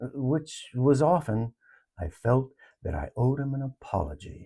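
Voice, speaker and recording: A man's dark, mellow, somewhat breathy voice at medium pitch and a fairly slow pace, in a very clean recording with a silent background. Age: 70s. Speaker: retired elder sharing life lessons. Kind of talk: reflective personal talk.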